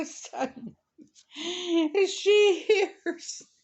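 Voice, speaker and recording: A woman is talking. Her accent is a Southern US accent. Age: 70s. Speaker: crocheter and storyteller. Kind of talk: story reading.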